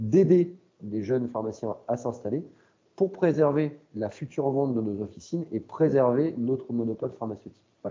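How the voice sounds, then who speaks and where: The man talks at a moderate pace, his medium-pitched voice full of lively intonation. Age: 40s. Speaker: pharmacy owner. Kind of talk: interview on a live webinar. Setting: online live webinar. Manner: halting, many repeated words and fillers.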